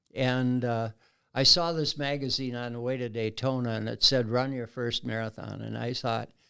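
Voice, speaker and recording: Bright and sharp in tone, a man with an American accent talks at a medium pitch. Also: fairly even intonation, moderate pace, very clean recording, silent background. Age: 80s+. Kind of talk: interview conversation.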